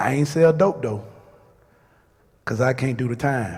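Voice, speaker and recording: A man's somewhat breathy voice has ordinary pitch variation and a moderate pace. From Louisiana (Shreveport). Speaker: radio personality. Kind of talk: speech to a crowd.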